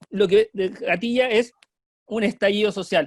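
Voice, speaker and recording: A man's high-pitched voice comes across with a dry, close sound and no echo. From Chile. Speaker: student leader, political activist. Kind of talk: online panel talk.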